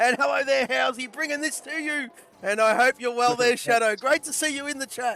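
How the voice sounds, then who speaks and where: Here a man speaks in an extremely high pitch with a raised, projected voice. His pace is fairly quick. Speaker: sim racing commentator. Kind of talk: live commentary. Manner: animated.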